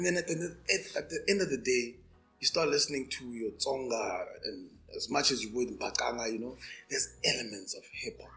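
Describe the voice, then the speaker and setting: A man with a Pretoria accent talks at a fairly quick pace, his loudness swinging widely, while music plays in the background. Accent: Pretoria South African. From South Africa, Pretoria area. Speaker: actor and rapper. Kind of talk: casual chat.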